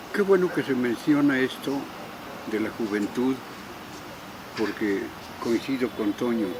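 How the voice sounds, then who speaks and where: With lively intonation, a man speaks at a medium pitch and a fairly slow pace, leaving long, frequent pauses against noticeable background noise. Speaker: former political opponent. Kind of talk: interview.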